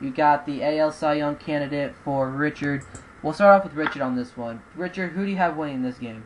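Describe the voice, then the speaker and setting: Very deep, low female voice at a fairly quick pace, with noticeable background noise. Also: ordinary pitch variation. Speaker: baseball podcast host. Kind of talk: casual chat.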